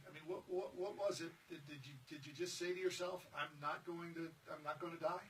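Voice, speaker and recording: A man with a high pitch speaks in a monotone, flat way at a fairly quick pace with hardly any pauses, over noticeable background noise. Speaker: radio talk show host. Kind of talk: radio talk show.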